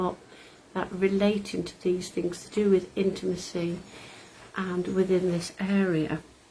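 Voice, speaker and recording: Speaking at a moderate pace, a woman has a somewhat breathy, dark, mellow voice at a medium pitch with fairly even intonation. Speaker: meditation guide. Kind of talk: casual talk to camera.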